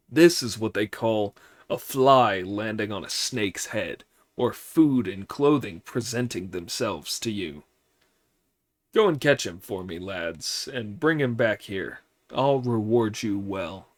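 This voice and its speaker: Putting on a character voice, a man cackles at a fairly slow pace in a medium pitch. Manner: cackling, gloating.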